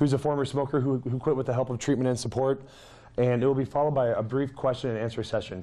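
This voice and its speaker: At a very fast pace, a man with a medium pitch and a dark, mellow tone speaks with fairly even intonation. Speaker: clinical health psychologist. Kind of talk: lecture.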